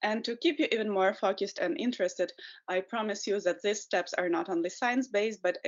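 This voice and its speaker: A woman speaks with a Ukrainian accent in a medium pitch. Her intonation is lively. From Ukraine. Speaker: potter and environmental educator. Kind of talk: webinar presentation. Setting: video call webinar.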